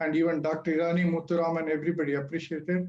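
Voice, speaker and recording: A man with an Indian accent talks at a very fast pace in a high pitch. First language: not English. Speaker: author. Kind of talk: speech at book launch.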